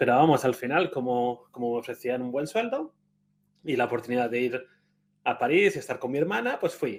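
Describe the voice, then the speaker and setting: A man with a Spanish accent at a fairly quick pace, very clean recording with a silent background. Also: medium pitch for a man, ordinary pitch variation. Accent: Spanish (Spain). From Spain. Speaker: conference speaker. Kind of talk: conference talk. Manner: conversational, with frequent hesitations.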